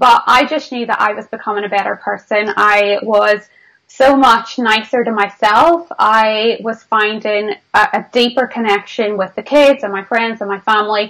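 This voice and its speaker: With a Northern Irish accent, a woman speaks at a moderate pace with hardly any pauses, in a bright, sharp tone with fairly high pitch and fairly even intonation. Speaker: business mentor. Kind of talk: interview.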